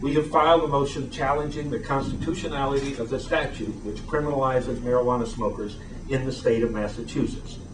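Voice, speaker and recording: Barely pausing, a fairly high-pitched man rushes along at a very fast pace with ordinary pitch variation, while room echo and noticeable background noise come through. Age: 60s. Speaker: attorney and advocacy group founder. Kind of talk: prepared statement at a press event. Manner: formal.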